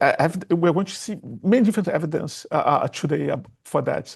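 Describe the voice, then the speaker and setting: A man with a Portuguese accent speaks fairly quickly in a high voice with ordinary pitch variation. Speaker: computer scientist, programming language creator. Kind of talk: technical conference talk. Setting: stage with audience, presenting seated. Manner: halting, many fillers and restarts.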